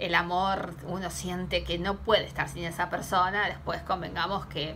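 Fairly slow speech in an Argentine accent, with noticeable background noise. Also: woman. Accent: Rioplatense Argentine Spanish. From Argentina. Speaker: tarot reader. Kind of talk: tarot reading vlog. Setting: home, camera recording. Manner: hesitant, with many fillers. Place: home room. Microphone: phone near.

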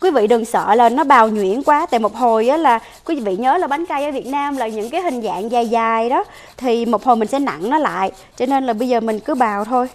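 A woman with a fairly high pitch talks at a fairly quick pace, using ordinary pitch variation.

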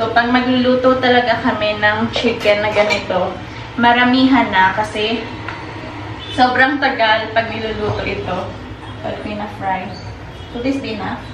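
A woman speaks with long, frequent pauses. The room echo is audible and there is noticeable background noise. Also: moderate pace. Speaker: home vlogger. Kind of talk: casual vlog chat. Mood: relaxed, a bit low. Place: kitchen. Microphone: camera far.

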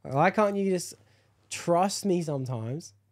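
Against a quiet background, a man speaks in a dark, mellow tone with lively intonation. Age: 20s. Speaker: podcast host. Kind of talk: casual chat. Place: home room. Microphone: studio mic.

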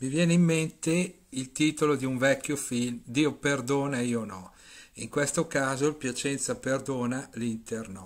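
In a very clean recording with a silent background, a man with a normal speaking voice talks at a fairly slow pace, with medium pitch and ordinary pitch variation. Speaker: football commentator.

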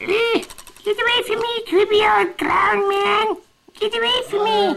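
A put-on character voice, squeaky and extremely high in pitch, moves at a moderate pace. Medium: stage play. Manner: menacing.

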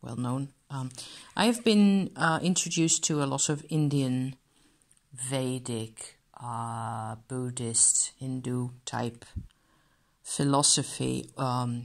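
Her pitch very deep and low, a woman speaks at a very slow pace with ordinary pitch variation and long, frequent pauses. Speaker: card reviewer. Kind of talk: casual review chat. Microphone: phone near.

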